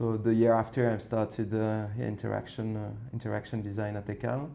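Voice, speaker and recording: Music plays behind a man speaking with a French accent. His fairly low voice moves at a fairly quick pace in a flat monotone. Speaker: design professor. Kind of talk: podcast interview. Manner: halting, many fillers and repetitions.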